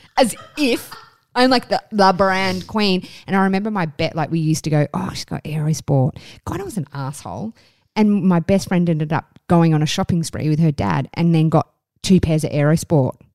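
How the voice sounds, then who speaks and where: In an Australian accent, a woman talks at a fairly quick pace with lively intonation, the sound dry and close with no echo. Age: 30s. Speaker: podcast co-host. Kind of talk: casual chat.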